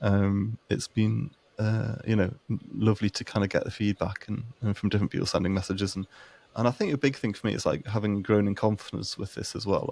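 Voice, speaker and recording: Fairly low in pitch, a man talks at a fairly quick pace with a Northumbrian accent. His intonation stays fairly even on a very clean recording with a silent background. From Northumberland, northern England. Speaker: podcast co-host living with chronic illness. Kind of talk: casual podcast chat. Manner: halting, many fillers and repeated words.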